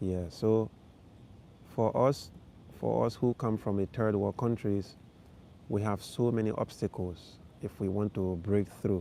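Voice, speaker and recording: With a West African accent, a man speaks fairly slowly in a fairly low, dark, mellow voice, his pitch varying in an ordinary way and broken by long, frequent pauses. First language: Fulani. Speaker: vlogger, live stream host. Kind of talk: casual livestream chat with viewers. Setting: outdoors in a park at night, livestream.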